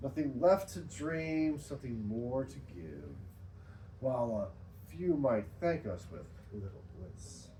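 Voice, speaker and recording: In audible room echo, a man speaks at a very slow pace with a fairly low pitch and dark, mellow tone. His pitch swings are very wide, and there are big swings in loudness. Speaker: poet. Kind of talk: poetry reading at open mic; casual talk between poems.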